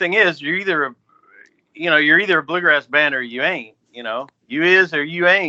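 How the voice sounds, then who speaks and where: Loudness swings widely as a man talks in an ordinary speaking voice at a fairly quick pace. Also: fairly high pitch for a man, ordinary pitch variation. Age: 60s. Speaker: bluegrass musician. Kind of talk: podcast interview.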